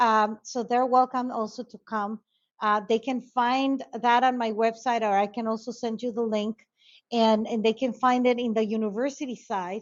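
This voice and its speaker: A woman's flat, monotone delivery in a Spanish accent. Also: fairly high pitch for a woman, moderate pace. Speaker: conflict resolution expert. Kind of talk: interview. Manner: halting.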